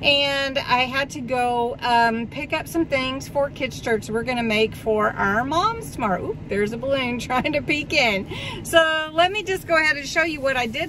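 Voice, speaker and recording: A woman's raised, projected voice comes at a moderate pace, dry with no echo, over noticeable background noise. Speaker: haul vlogger. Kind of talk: casual vlog chat. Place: car. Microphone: phone near.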